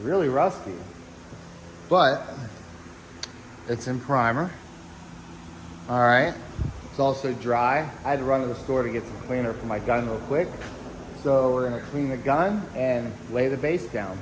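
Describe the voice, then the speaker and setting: Against noticeable background noise, a man speaks at medium pitch with ordinary pitch variation. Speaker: auto body painter. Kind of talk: casual talk to camera. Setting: workshop.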